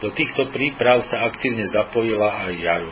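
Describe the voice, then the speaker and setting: Against noticeable background noise, a man at a medium pitch talks at a fairly slow pace with fairly even intonation. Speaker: amateur radio news presenter. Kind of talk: news reading. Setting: radio broadcast. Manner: formal.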